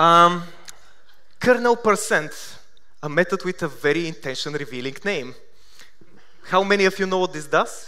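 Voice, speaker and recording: This man speaks at a moderate pace with a Bulgarian accent, leaving long, frequent pauses. His high-pitched voice has a bright, sharp tone and ordinary pitch variation. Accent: Bulgarian accent, sounds Russian. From Bulgaria, Sofia. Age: 30s. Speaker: software developer, conference speaker. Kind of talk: conference talk. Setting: stage with audience. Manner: hesitant, with fillers.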